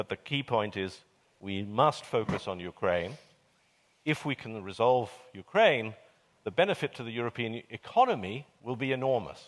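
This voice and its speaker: In a British accent, a man speaks at a medium pitch with lively intonation and a moderate pace. He leaves long, frequent pauses, and the sound is dry and close with no echo. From Britain. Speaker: panelist, commentator on European affairs. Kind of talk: panel discussion. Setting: stage with audience. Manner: measured, hesitant.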